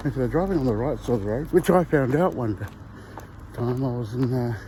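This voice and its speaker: Moderate pace in a New Zealand accent, against noticeable background noise. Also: man. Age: 60s. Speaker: vlogger. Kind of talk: casual chat. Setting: outdoors. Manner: casual with filler words.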